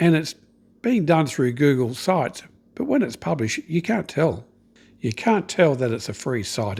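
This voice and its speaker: A man's somewhat breathy voice with lively intonation. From Australia. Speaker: online business coach. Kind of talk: tutorial. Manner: casual, conversational.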